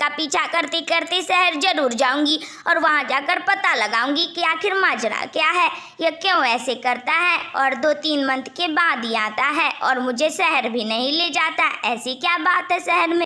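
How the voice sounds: A female-sounding cartoonish character voice speaks at a high pitch over light background noise.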